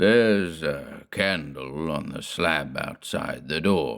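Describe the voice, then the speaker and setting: A man uses a put-on character voice with a very deep, low pitch and lively intonation. He talks at a very slow pace. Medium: read story. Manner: curt, ominous.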